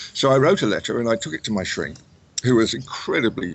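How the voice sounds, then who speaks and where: A man with an English accent speaks with ordinary pitch variation. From England. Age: 60s. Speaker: author. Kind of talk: interview. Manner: halting, repeats words.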